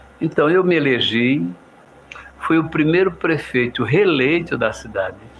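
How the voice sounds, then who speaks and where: A man's fairly high-pitched voice at a fairly slow pace, very even in loudness, against noticeable background noise. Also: lively intonation. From Pernambuco, Brazil (Olinda). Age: 70s. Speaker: politician. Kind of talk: radio interview.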